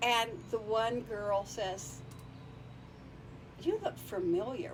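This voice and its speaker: Against noticeable background noise, a woman's fairly high voice makes very wide pitch swings. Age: 70s. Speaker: podcast guest, founder of women's travel group. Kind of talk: casual interview chat. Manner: halting, many repeated words.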